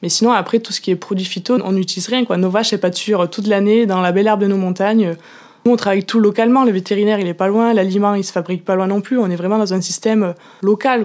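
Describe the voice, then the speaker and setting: A woman's medium-pitched voice at a very fast pace. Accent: Auvergne. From Auvergne, Cantal. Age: young. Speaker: dairy farmer. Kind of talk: interview answer. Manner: enthusiastic, convinced.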